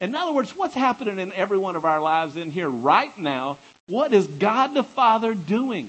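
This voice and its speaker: Pitched high, a man's voice swings very widely. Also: moderate pace. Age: 50s. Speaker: preacher. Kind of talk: sermon.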